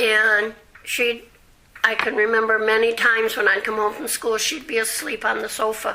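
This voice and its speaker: Over noticeable background noise, a woman with an American accent speaks at a fairly high pitch in a flat monotone. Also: moderate pace. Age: 70s. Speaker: oral history interviewee. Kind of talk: oral history interview. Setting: at home.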